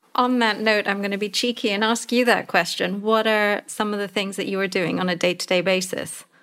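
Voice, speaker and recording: On a very clean recording with a silent background, the speaker moves at a fairly quick pace with hardly any pauses and a monotone, flat intonation. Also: woman, medium pitch for a woman. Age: 40s. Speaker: podcast co-host, leadership advisor. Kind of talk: interview.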